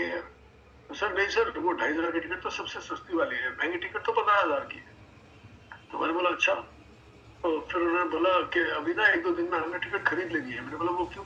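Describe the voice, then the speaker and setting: Pitched high, the man speaks with ordinary variation in his pitch. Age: 60s. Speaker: health product network marketing leader. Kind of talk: motivational sales session. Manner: animated.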